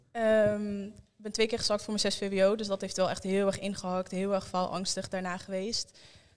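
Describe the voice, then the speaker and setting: A woman at a moderate pace, in monotone, flat intonation. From Netherlands, Almelo (Twente); Netherlands. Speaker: young guest sharing experience; interview guest. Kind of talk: group conversation. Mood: reflective, calm. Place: studio. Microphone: handheld.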